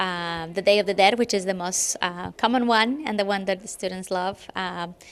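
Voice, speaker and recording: With a Spanish accent, a woman speaks at medium pitch and a moderate pace with ordinary pitch variation. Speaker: middle school Spanish teacher. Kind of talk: interview. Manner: halting, with fillers.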